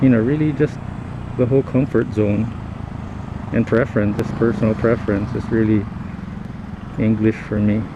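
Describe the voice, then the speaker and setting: With noticeable background noise behind him, a man with a Filipino accent speaks at medium pitch and a moderate pace, his intonation fairly even and his pauses long and frequent. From Philippines. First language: Tagalog. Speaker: moto vlogger. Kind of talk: casual vlog monologue. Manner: halting, many fillers.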